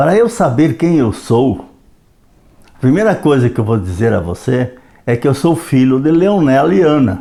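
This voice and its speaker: A man with a dark, mellow tone, very wide pitch swings and very even loudness. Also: medium pitch for a man, moderate pace. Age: 80s+. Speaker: retired history educator. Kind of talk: reflective monologue.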